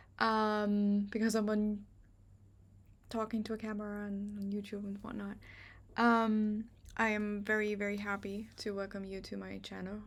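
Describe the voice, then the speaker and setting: A woman with a German accent, medium in pitch, with monotone, flat intonation. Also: moderate pace. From Germany. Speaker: astrologer. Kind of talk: channel introduction to camera. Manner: halting, many fillers.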